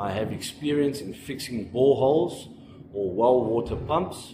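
The speaking pace is moderate. Background noise is noticeable. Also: man. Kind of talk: self-introduction to employers. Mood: earnest, polite. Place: home room. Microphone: phone near.

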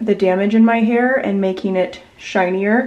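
A woman with an American accent speaks at a moderate pace in a flat, monotone intonation. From Virginia, US (Gloucester); Virginia. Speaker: lifestyle vlogger and podcaster; lifestyle vlogger, podcaster. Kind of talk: casual chatty vlog to camera.

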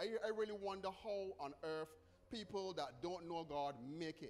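Ordinary pitch variation in a man's speech. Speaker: preacher. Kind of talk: sermon. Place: church. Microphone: podium.

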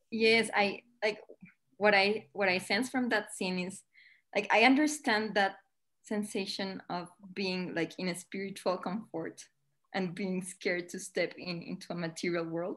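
A woman with a Spanish accent speaks at a fairly slow pace. Her background is quiet. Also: medium pitch for a woman, ordinary pitch variation. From Colombia. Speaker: spiritual devotee, lawyer. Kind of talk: casual chat. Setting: video call. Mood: warm, reflective. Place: home room. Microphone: video call.

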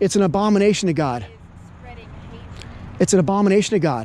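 Over light background noise, a man with a high voice and ordinary pitch variation leaves long, frequent pauses, the sound dry with no echo. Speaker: street preacher. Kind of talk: street preaching, debating a passer-by. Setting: outdoors. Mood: argumentative, preachy. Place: street.

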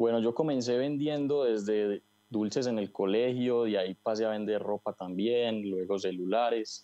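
Over a quiet background, a man speaks at a fairly slow pace with very even loudness, ordinary pitch variation and hardly any pauses. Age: 20s. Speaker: online store owner. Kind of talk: interview. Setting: video call. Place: shop. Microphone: earbuds.

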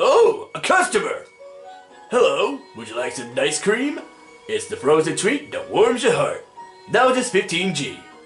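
Over clear music in the background, someone performs a put-on character voice. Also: man, fairly slow pace. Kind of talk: casual, relaxed. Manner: surfer dude.

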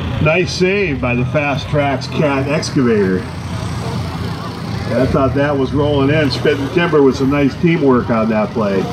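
Noticeable background noise behind a man's moderately paced speech with ordinary pitch variation. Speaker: event announcer. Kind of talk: live play-by-play commentary. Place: open country.

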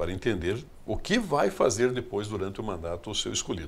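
A somewhat breathy male voice at a fairly low pitch and moderate pace. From southern Brazil, Rio Grande do Sul. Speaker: politician and businessman; politician. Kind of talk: interview. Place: studio. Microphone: studio mic.

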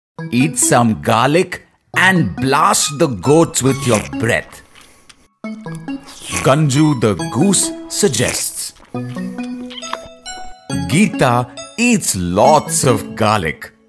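Over music in the background, a man with a fairly high pitch speaks very slowly with very wide pitch swings, long, frequent pauses and very even loudness. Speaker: voice-over artist. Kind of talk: children's phonics story narration.

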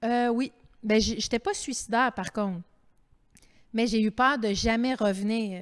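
Fairly slow speech with long, frequent pauses and fairly even intonation plays over a quiet background. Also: woman. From Quebec. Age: 50s. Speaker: author and TV host; TV host. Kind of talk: public author interview. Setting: library terrace, livestreamed event. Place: hall. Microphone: handheld.

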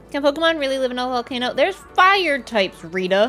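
A woman puts on a character voice at a high pitch and a very fast pace, with clear music and clear background noise behind her. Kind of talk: casual gameplay commentary. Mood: playful, amused.

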